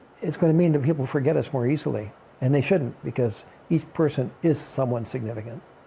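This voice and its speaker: With an American accent, a man talks very fast in a fairly high pitch, his tone dark and mellow and somewhat breathy. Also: ordinary pitch variation. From Kansas. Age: 70s. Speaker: retired archbishop and author. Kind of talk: interview. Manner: halting, with frequent restarts.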